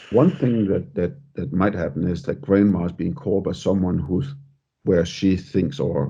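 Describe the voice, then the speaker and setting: A man speaks with a Danish accent. His pitch is very deep and low. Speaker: podcast host. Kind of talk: podcast interview.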